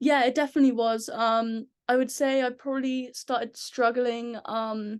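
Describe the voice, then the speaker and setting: Against a quiet background, a woman with a strong English accent speaks at a moderate pace in a high pitch with monotone, flat intonation. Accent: English, very thick. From England. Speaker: ice hockey player. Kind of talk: podcast interview. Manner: many filler ums.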